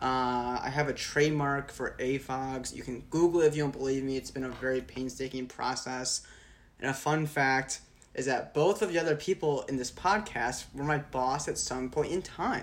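A man's normal speaking voice at medium pitch, with a moderate pace and fairly even intonation. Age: 20s. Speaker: student and video business owner. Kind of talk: casual chat.

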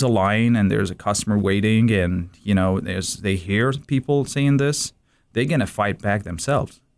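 In a very clean recording with a silent background, a man speaks at a moderate pace with an Iraqi accent and ordinary pitch variation. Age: 30s. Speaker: immigrant sharing life story. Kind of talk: radio interview. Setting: studio.

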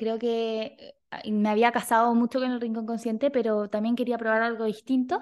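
Against a quiet background, a woman speaks at a moderate pace with fairly high pitch and a monotone, flat intonation. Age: 20s. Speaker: clinical psychologist and podcast host. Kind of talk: casual solo monologue.

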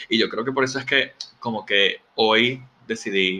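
The man speaks with ordinary pitch variation. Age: 30s. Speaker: podcast host. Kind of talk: casual solo monologue. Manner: hesitant, filler-heavy.

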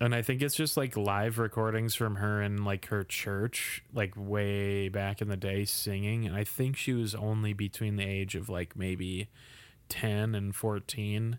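Using a normal speaking voice, a man talks at a fairly slow pace, fairly low in pitch and with fairly even intonation. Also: very clean recording, silent background. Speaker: podcast host. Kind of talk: casual chat.

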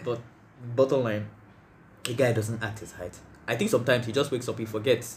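Somewhat breathy and fairly even in intonation, a man speaks at a medium pitch and a very fast pace with long, frequent pauses. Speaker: podcast host. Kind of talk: casual chat.

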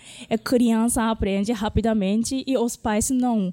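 In a very clean recording with a silent background and a dry, close sound with no echo, a woman with a Japanese accent speaks at a fairly slow pace, her fairly high pitch carrying a dark, mellow tone and fairly even intonation. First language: Japanese (speaking Portuguese). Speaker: Japanese language teacher. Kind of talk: interview.

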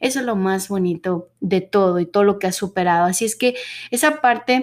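In an unremarkable speaking voice, a woman with medium pitch talks at a fairly quick pace. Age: 30s. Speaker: podcast host. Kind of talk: casual monologue.

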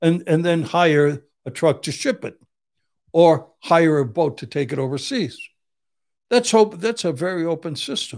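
A very clean recording with a silent background, delivered at a fairly slow pace. The intonation is lively, broken up by long, frequent pauses. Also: man, high pitch for a man. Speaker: Vietnam veteran and criminal defense attorney. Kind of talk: casual chat. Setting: studio. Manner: blunt, uncensored.

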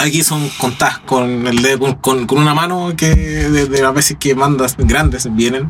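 There is noticeable background noise as a man with a medium pitch and ordinary pitch variation speaks at a fairly slow pace. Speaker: singer in a tribute band. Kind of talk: casual interview.

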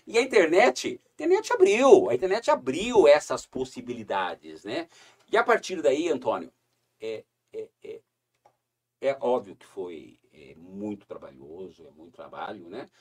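A man talks at a fairly slow pace, with big swings in loudness. The sound is dry and close, with no echo. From southern Brazil, Paraná (Curitiba, then Foz do Iguaçu). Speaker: tourism company CEO. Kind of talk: casual interview chat.

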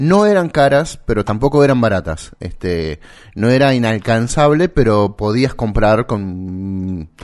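A man with a Rioplatense accent talks at a fairly slow pace and medium pitch. His intonation is lively, and the background is quiet. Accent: Argentine Rioplatense Spanish. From Santa Fe, Argentina. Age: 40s. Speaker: podcast co-host. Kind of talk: casual chat. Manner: hesitant, many filler words.

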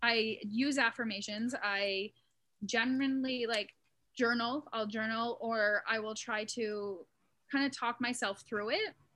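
A plain, everyday voice from a woman, fairly high in pitch, fairly slow and with fairly even intonation. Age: 30s. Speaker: mental health content creator. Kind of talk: casual interview.

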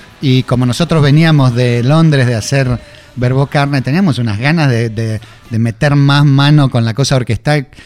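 In a normal speaking voice, a man speaks at medium pitch and a moderate pace with fairly even intonation. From Argentina, Buenos Aires northern suburbs (Vicente López). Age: 50s. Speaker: rock musician. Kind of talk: interview.

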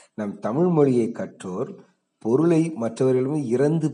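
A man with a dark, mellow tone speaks with very wide pitch swings, and room echo is audible. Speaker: school teacher. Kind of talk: lecture.

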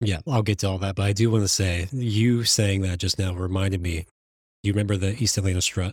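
On a very clean recording with a silent background, a man talks at a fairly quick pace with a fairly low, somewhat breathy voice and fairly even intonation. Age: 30s. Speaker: podcast host and hairdresser. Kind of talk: casual chat.

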